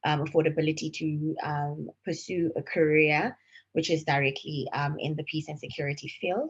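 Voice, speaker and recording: A woman speaks in a very deep, low voice that is somewhat breathy. Her delivery is monotone and flat, at a moderate pace. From South Africa. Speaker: panelist, client relations manager. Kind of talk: panel discussion. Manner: hesitant, many fillers.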